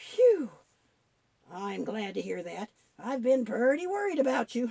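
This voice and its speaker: A cartoonish character voice at a fairly slow pace. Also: woman, high pitch for a woman. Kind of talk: Bible story telling. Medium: puppet.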